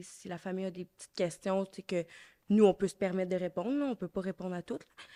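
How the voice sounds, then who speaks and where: A woman's dark, mellow voice at a medium pitch comes through with a dry, close sound and no echo. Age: 20s. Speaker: patient care attendant. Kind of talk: casual interview. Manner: hesitant, many fillers.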